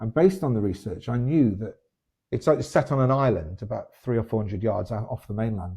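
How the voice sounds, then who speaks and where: In a British accent, a man speaks at a fairly quick pace with lively intonation. His medium-pitched voice is dark, mellow and somewhat breathy. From Britain. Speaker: novelist and teacher. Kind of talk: interview.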